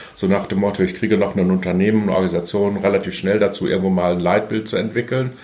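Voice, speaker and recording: The speech comes at a very fast pace with hardly any pauses, in a monotone, flat intonation and very even loudness. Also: man, fairly low pitch for a man. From Bielefeld, Germany. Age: 50s. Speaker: organizational consultant. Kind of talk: interview. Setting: studio.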